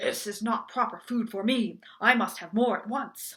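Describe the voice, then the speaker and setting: Growling in a put-on character voice, the speaker holds a fairly high pitch at a moderate pace. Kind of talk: storybook. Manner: angry, growling.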